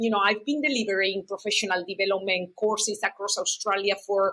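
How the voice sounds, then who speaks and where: A woman with a non-native accent speaks in a bright, sharp tone. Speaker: university program manager, interpreter trainer. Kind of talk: podcast interview.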